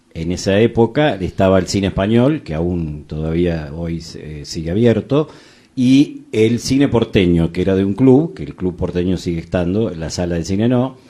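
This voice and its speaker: A man's very deep, low voice with a dark, mellow tone and a Rioplatense accent. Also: lively intonation, moderate pace. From Argentina, Buenos Aires province (Chacabuco). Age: 60s. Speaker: film critic. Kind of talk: casual chat. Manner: halting, many fillers.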